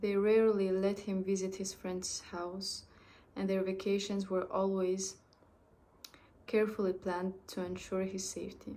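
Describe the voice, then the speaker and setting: A woman talks at a moderate pace with a medium pitch. Her intonation is monotone and flat. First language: French. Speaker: amateur storyteller. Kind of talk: reading aloud. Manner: halting, with restarts.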